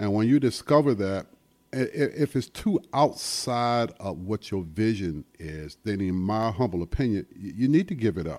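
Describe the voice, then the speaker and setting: With an American accent, a man talks at a moderate pace in an unremarkable speaking voice, fairly low in pitch and with lively intonation. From US South, South Carolina. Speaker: music venue owner. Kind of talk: casual interview. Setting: studio.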